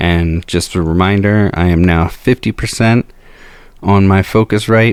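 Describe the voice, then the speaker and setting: Over a very clean recording with a silent background, a man speaks fairly slowly at a very deep, low pitch, with very even loudness and fairly even intonation. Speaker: musician and home-studio reviewer. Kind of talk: gear demo and review. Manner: hesitant, many fillers. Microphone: recording through a new dynamic studio mic, with gain switches changing.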